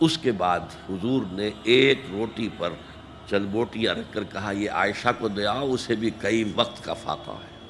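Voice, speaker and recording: Pitched fairly low, the man's voice varies in an ordinary way. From Pakistan. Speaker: Islamic scholar. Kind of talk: religious sermon.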